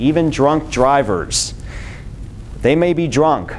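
Someone speaks with an American accent over light background noise. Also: man. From Michigan, Detroit; Michigan. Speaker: transportation planner; presenter. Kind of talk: presentation. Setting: lunch talk with live audience. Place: meeting room.

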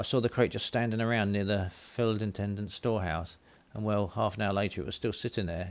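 Intonation stays fairly even. It is a natural reading voice.

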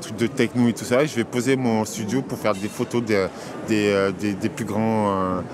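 A man speaks in a fairly low voice with fairly even intonation over clear background noise.

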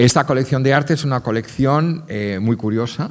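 Very fast male speech over a quiet background. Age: 50s. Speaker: art curator and art fair director; art curator lecturer. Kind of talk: lecture. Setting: stage with audience. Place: stage. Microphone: podium.

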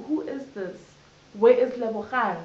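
There is audible room echo around a woman whose high voice shows ordinary pitch variation. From South Africa, Johannesburg. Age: 20s. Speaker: HIV/AIDS activist. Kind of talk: interview testimony. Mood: candid, reflective storytelling. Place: home room. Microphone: camera far.

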